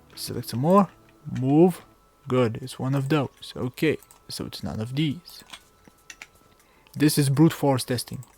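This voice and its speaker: The speaker goes at a fairly slow pace with long, frequent pauses, and noticeable background noise can be heard. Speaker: game hacking tutorial youtuber. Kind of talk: tutorial. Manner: casual, rambling.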